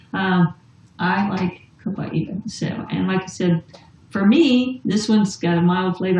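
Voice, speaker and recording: A woman's voice at medium pitch and moderate pace, with ordinary pitch variation and noticeable background noise. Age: 50s. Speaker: essential oils distributor. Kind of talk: casual chat.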